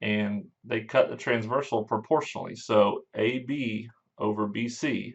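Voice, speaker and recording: A man with an unremarkable speaking voice, medium pitch, fairly even intonation and a fairly slow pace. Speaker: math teacher. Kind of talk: lecture.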